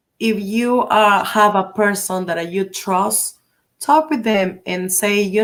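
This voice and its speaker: A woman talks at a very slow pace with a Spanish accent. Her intonation stays fairly even. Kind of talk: interview on live stream. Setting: live stream. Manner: halting, many fillers in English.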